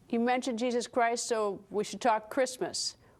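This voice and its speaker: A woman's fairly high voice, an ordinary speaking voice, at a moderate pace with ordinary pitch variation, in a very clean recording with a silent background. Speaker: TV news host. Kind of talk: TV news interview.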